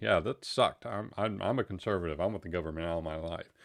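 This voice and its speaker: Against a quiet background, a man with a Texan accent speaks in a very deep, low pitch with ordinary pitch variation. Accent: Texan American. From Texas. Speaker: live stream host. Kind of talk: casual chat. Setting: live stream. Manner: halting, many fillers.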